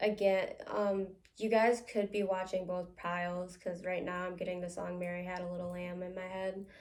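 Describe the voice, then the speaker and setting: At a moderate pace, a woman with an American accent speaks in a medium pitch with monotone, flat intonation. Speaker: psychic medium. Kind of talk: tarot-style psychic reading to camera. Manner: casual, many filler words.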